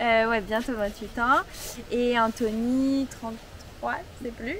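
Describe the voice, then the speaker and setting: Speaking at a very slow pace, a woman with a fairly high pitch keeps her intonation fairly even. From France. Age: 20s. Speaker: campsite owner. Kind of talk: interview.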